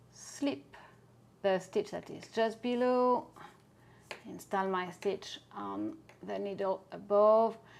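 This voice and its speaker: In a French accent, a woman speaks very slowly at a medium pitch with ordinary pitch variation, long, frequent pauses and big swings in loudness. The recording is very clean, with a silent background. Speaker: knitting teacher. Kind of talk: knitting tutorial.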